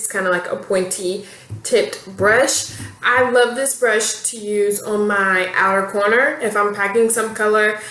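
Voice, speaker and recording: Amid noticeable background noise and audible room echo, a woman speaks at a fairly high pitch. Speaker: beauty vlogger. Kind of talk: casual product review to camera. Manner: fast; animated.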